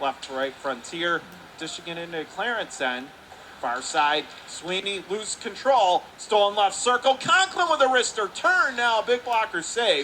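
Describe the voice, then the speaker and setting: A man's raised, projected voice, high in pitch with very wide swings, over noticeable background noise. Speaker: radio play-by-play announcer. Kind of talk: live hockey play-by-play commentary. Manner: fast.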